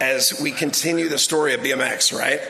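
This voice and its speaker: A man's high-pitched voice with an American accent, plus noticeable background noise and audible room echo. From Southern California. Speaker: sports organization executive. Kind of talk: ceremony speech.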